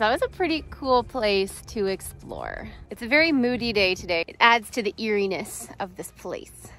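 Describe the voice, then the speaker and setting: With faint music in the background, a woman talks at a moderate pace with hardly any pauses, her loudness swinging widely in a dry sound with no echo. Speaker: exploration vlogger. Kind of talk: casual vlog chat. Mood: cheerful, slightly chilly. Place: open country. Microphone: phone near.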